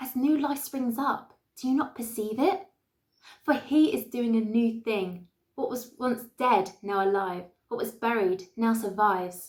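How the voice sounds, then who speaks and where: Using a normal speaking voice, someone talks fairly slowly with ordinary pitch variation. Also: woman, fairly high pitch for a woman. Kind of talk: spoken word poetry performance.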